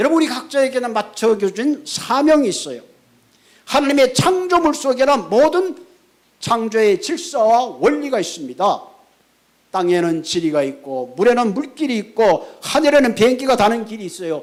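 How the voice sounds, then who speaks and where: A man with an extremely high pitch and very wide pitch swings at a moderate pace. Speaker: pastor. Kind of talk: sermon. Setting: church.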